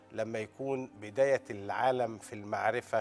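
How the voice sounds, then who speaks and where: Faint music plays in the background as a man speaks with ordinary pitch variation. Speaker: guest. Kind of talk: interview answer. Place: studio. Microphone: lapel.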